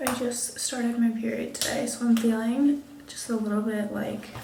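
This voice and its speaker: Soft-spoken and fairly high-pitched, a woman talks with fairly even intonation over noticeable background noise and audible room echo. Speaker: lifestyle vlogger. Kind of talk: casual vlog chat. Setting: hotel room.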